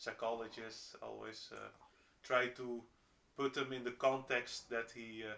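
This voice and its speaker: Flat, monotone male speech at a fairly slow pace, medium in pitch and bright and sharp in tone, with a Dutch accent. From Netherlands. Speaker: roommate of the streamer. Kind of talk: casual chat. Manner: halting, many fillers and restarts.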